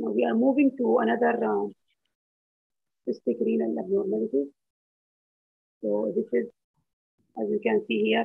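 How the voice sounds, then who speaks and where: A man in a hoarse, put-on character voice at a medium pitch, moderate in pace with long, frequent pauses. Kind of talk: lecturing, medical.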